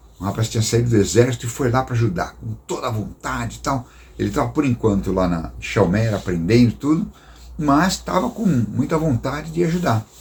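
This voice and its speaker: A man with a medium pitch speaks with vocal fry and very wide pitch swings. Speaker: missionary storyteller. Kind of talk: storytelling talk. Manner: casual, conversational.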